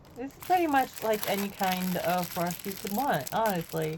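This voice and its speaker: Over noticeable background noise, a woman speaks in an upbeat tone at a fairly slow pace. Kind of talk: recorded voiceover for a makeup unboxing. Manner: casual, upbeat.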